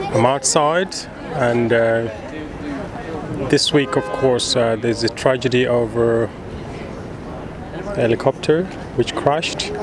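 Against crowd noise in the background, a man speaks fairly slowly with ordinary pitch variation in a dry sound with no echo. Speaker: vlogger filming tribute site. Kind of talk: casual vlog commentary. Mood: somber, respectful. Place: stadium. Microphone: phone near.

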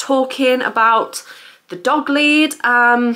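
A woman's voice, high in pitch. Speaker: haul vlogger. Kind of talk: casual vlog chat. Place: home room. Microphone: camera far.

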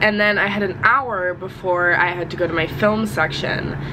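Noticeable background noise runs under the recording. A woman speaks over it at a fairly slow pace. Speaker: college student vlogger. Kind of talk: casual vlog chat. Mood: unwell but upbeat. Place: home room. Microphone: phone near.

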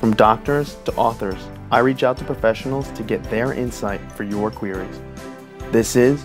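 Clear music sits behind a man who takes long, frequent pauses and makes very wide pitch swings. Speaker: interviewer, comedian journalist. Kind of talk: show intro narration.

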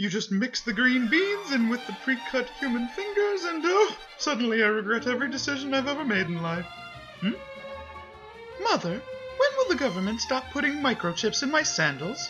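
A high-pitched woman at a moderate pace, with clear music in the background. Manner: dazed, rambling non sequiturs.

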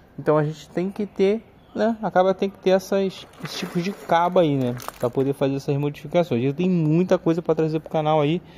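High pitch from a man, with ordinary pitch variation, a fairly quick pace and light background noise. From Brazil. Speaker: video game modder and seller; seller. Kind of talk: casual haul video showing purchases. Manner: informal, chatty with slang. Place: garden. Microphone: phone near.

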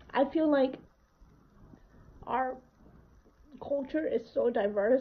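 A woman's high-pitched voice at a very slow pace. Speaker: home cook vlogger. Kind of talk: casual vlog chat. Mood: warm, reflective. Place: home room. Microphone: phone near.

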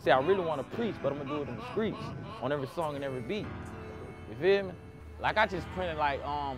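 A man talks at a very fast pace. The sound is dry with no echo, and music plays clearly in the background. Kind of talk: interview answer. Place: street.

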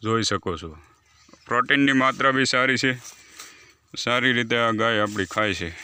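A man talks with a bright, sharp tone. His pitch is medium, with ordinary variation. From Gujarat, Amreli district (Saurashtra). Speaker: organic farmer. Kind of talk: farm demonstration video.

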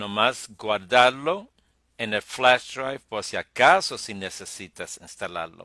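A man's bright, sharp voice at a very slow pace with ordinary pitch variation, dry and close with no echo, on a very clean recording with a silent background. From New York (Brooklyn), Puerto Rican parents. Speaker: tech tutorial youtuber. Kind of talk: tutorial. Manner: halting, many fillers.

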